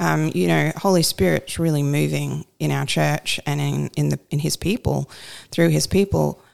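A woman with an Australian accent talks at a moderate pace, her voice dry and close with no echo. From rural New South Wales, Australia. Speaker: pastor's wife, co-host. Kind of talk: casual chat, podcast conversation with husband.

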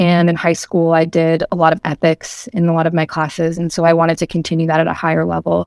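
A woman with an American accent and an unremarkable speaking voice, fairly low in pitch, at a fairly quick pace, in a dry, close sound with no echo on a very clean recording with a silent background. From Massachusetts, Boston area (Medford). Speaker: student activist. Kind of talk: interview.

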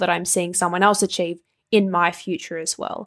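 With an Australian accent, a woman speaks at a moderate pace. The sound is dry and close, with no echo. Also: very clean recording, silent background. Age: 20s. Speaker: nutrition and life coach, podcast host. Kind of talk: solo podcast monologue. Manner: animated.

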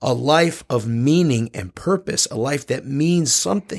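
The recording is very clean, with a silent background. A man with an unremarkable speaking voice talks at a moderate pace with lively intonation. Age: 30s. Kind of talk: casual faith discussion.

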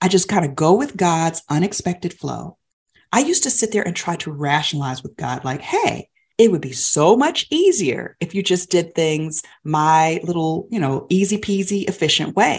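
Against a quiet background, a woman with a normal speaking voice and fairly low pitch talks at a moderate pace with lively intonation. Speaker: podcast co-host. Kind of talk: faith-based podcast conversation.

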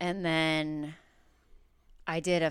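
Audible room echo surrounds a woman whose very deep, low voice stays monotone and flat. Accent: American. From Chicago northwest suburbs (Mount Prospect). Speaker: stand-up comedian. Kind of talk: casual interview chat.

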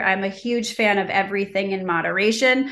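At a moderate pace, a woman speaks in an unremarkable speaking voice with medium pitch and ordinary pitch variation. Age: 40s. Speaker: skincare brand founder. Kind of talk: interview. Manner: frequent filler 'um'.

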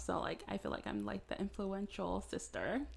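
In a very clean recording with a silent background, a woman speaks. She has an American accent and a moderate pace. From North Carolina. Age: 20s. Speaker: podcast host. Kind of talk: casual chat.

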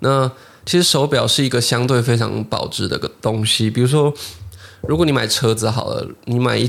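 A man speaks in a plain, everyday voice at a medium pitch. His intonation is fairly even and his pace moderate. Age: 20s. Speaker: podcast host, watch collector. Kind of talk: casual interview chat.

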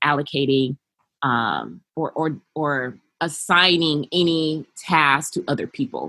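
A woman with an American accent has a very deep, low pitch and ordinary pitch variation, her sound dry and close with no echo. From US West Coast, Los Angeles. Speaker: childcare business founder and behavioral therapist. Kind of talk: interview.

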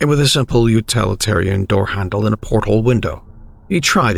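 Reading aloud, plain and simple

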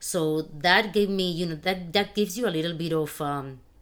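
A woman speaks with a Spanish accent at a fairly low pitch, with ordinary pitch variation. The recording is very clean, and the background is silent. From Spain. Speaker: financial advisor. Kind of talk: casual interview.

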